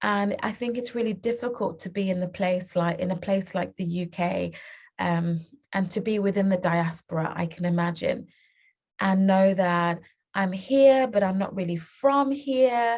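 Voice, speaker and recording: Over a quiet background, a woman with a British accent speaks at a moderate pace in a somewhat breathy, medium-pitched voice with ordinary pitch variation. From England (UK), born in Uganda. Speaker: children's book author and publisher. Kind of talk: interview.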